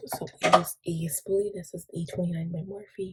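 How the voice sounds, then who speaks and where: A quiet, somewhat breathy woman's voice, dark and mellow in tone, at a medium pitch and a moderate pace, with ordinary pitch variation. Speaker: beauty vlogger. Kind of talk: makeup tutorial talk to camera.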